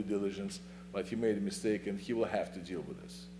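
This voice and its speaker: This man speaks with a non-native accent at a fairly low pitch. His tone is dark and mellow, with vocal fry. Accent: foreign. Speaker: attorney. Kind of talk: public comment at town meeting. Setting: town planning commission meeting. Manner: fast; halting.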